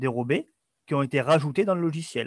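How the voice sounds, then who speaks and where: A man speaks at a fairly high pitch. The sound is dry with no echo, and the background is quiet. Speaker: webinar host. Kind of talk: webinar presentation. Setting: video call. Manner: hesitant, filler words. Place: home room. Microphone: webcam.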